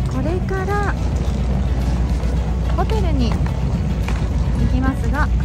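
Very slow delivery with long, frequent pauses over loud music in the background. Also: woman. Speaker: TV reporter. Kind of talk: casual travel vlog talk to camera. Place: street. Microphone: phone near.

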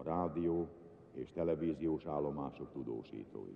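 A man is speaking. His tone is solemn. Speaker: funeral broadcast announcer. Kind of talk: solemn live funeral broadcast, formal announcement read aloud. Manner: formal, slow, measured and solemn, with grave dignified delivery.

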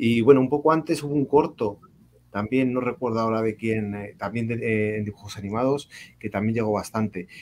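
A man speaks at a fairly quick pace with medium pitch and ordinary pitch variation. Light background noise is present. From Spain. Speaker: reading mediator and cultural manager; guest. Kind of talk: storytelling; casual panel conversation. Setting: video call. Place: home room. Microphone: video call.

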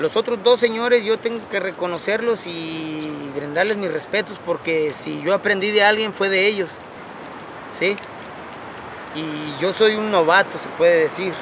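Over noticeable background noise, a man talks fairly slowly in a high-pitched voice. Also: ordinary pitch variation. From Mexico, San Blas, Nayarit. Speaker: fisherman. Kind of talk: interview. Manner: animated.

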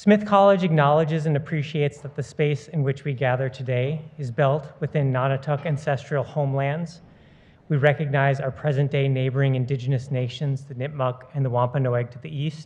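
A somewhat breathy man at a fairly quick pace with fairly even intonation. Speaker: garden director introducing lecture. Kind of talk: formal welcome address. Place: hall. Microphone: podium.

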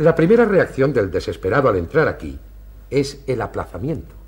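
A man with a theatrical tone at a moderate pace. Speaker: clinic director doctor character. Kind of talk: period TV stage play, theatrical declamation. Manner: formal, measured, courteous, theatrical diction. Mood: warm, explanatory, animated. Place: studio. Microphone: camera far.

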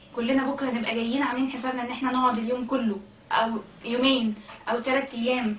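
Speaking very fast in an Egyptian accent, a woman holds a high, monotone, flat delivery amid audible room echo and light background noise. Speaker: political activist. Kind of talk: vlog to camera. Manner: tense but determined, hopeful. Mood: tense but determined, hopeful. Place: home room. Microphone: webcam.

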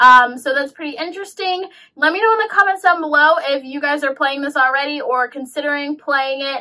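A woman speaks in a raised, projected voice with a bright, sharp tone against a quiet background. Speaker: game reviewer vlogger. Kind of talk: casual vlog chat. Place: home room.

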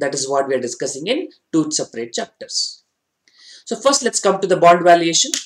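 In a quiet background, a man speaks fairly quickly in a high voice with very wide pitch swings. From India. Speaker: finance exam tutor. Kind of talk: online lecture. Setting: online class with slides. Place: studio.

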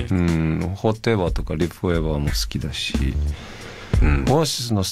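With clear music in the background, a man talks at a very fast pace in a very deep, low pitch. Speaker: musician. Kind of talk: radio guest conversation. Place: studio.

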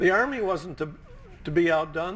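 The speaker is a man with a high pitch. His pitch varies in an ordinary way. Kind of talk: interview answer. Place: studio. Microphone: lapel.

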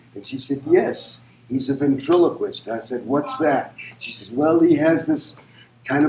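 A man's voice with ordinary pitch variation, audible room echo and light background noise. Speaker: interviewee. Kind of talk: interview answer.

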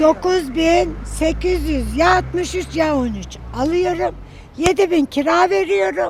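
A woman talks at a very slow pace with noticeable background noise behind her. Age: old. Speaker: pensioner, widow. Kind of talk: street interview answer. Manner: outspoken, bold.

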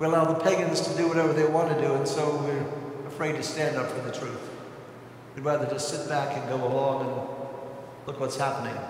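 A man speaks in a monotone, flat intonation. Strong room echo surrounds him, along with light background noise. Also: fairly quick pace. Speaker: priest giving homily. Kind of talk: homily urging the congregation to act. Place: church. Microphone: podium.

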